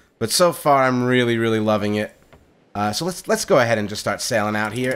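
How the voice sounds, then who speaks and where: Over music in the background, a man speaks at a fairly quick pace and medium pitch with ordinary pitch variation. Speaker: gaming video creator. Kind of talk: let's play commentary. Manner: loud; animated. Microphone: new condenser mic.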